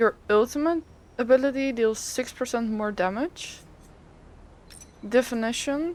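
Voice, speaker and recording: Speaking at a fairly slow pace with long, frequent pauses, a woman uses a high pitch and ordinary pitch variation. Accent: non-native. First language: not English. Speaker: gaming content creator. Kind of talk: tutorial. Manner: casual, hesitant.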